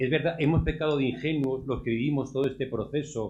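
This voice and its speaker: A man's unremarkable speaking voice at a medium pitch, with fairly even intonation. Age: 60s. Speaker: audience member commenting. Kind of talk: audience comment at round table. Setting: round table event with audience.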